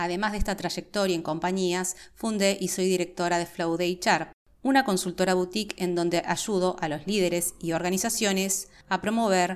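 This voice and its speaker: This woman speaks in a porteño accent at a medium pitch. Her pace is moderate and her intonation fairly even. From Buenos Aires, Argentina. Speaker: podcast host, HR professional. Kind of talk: scripted monologue.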